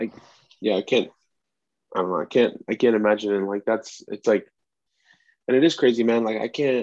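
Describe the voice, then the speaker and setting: Against a quiet background, a man at medium pitch speaks at a moderate pace with ordinary pitch variation and long, frequent pauses, the sound dry and close with no echo. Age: 20s. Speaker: podcast host, expectant father. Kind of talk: casual chat. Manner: rambling, many fillers.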